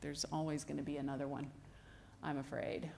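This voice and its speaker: A soft-spoken woman talks at a moderate pace, with audible room echo. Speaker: anthropologist, ancient DNA researcher. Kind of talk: lecture. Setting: stage with audience.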